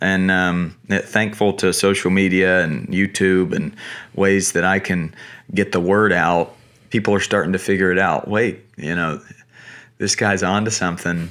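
At a moderate pace, a man with a very deep, low pitch speaks with fairly even intonation and very even loudness. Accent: American. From US South, North Carolina. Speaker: youth baseball coach. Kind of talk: interview.

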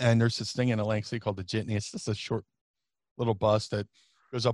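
In an American accent, a man talks very fast in a monotone, flat delivery, with a dry, close sound and no echo. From US Northeast (South Jersey). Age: 40s. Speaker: professional wrestler. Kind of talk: interview, casual chat. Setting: remote call across time zones.

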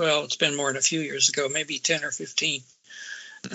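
Fairly even intonation from a man, noticeable background noise behind him. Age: 70s. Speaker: retired pharmacist. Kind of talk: casual discussion.

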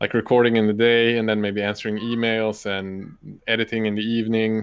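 The speaker has a Swedish accent and a monotone, flat intonation. The pace is moderate. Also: man. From northern Sweden. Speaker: YouTuber and miniature painter. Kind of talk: casual interview. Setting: live stream video call.

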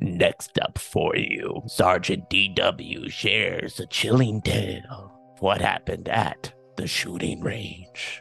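Over faint background music, a man uses a raspy, put-on character voice at a fairly low pitch and a fairly slow pace. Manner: creepy, ominous.

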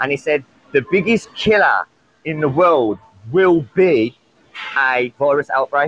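Music plays behind a man who speaks with a British accent in an animated tone. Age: 30s. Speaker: caller. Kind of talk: casual chat. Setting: call-in.

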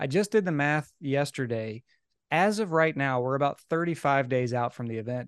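With a slight Southern US accent, the speaker's lively intonation comes through a dry, close sound with no echo and a quiet background. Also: man, fairly high pitch for a man. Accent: slight Southern drawl. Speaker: executive life and business coach. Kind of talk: casual interview.

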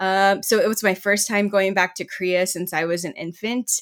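In a normal speaking voice with an American accent, a woman talks at a moderate pace with ordinary pitch variation, in a very clean recording with a silent background. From US South, Georgia and Texas. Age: young. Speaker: writer and community historian. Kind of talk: interview.

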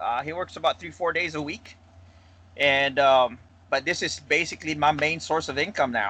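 A man speaks with a Filipino accent at a moderate pace. His fairly high voice has a bright, sharp tone and fairly even intonation. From Philippines. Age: 30s. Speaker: firearm customizer, business owner. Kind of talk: casual interview.

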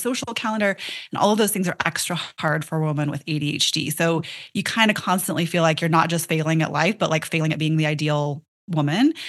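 A woman speaks with a fairly low pitch. She has an unremarkable speaking voice. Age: 40s. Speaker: functional nutrition and ADHD brain health practitioner. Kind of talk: interview.

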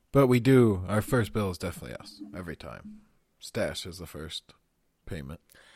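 Using vocal fry, a man speaks at a fairly low pitch with very wide pitch swings and big swings in loudness. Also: moderate pace, dry, close sound with no echo. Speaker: book club podcast co-host. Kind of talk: casual book discussion.

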